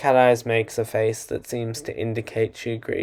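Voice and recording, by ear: Someone is reading aloud in a natural voice. The reading flows at its own rhythm.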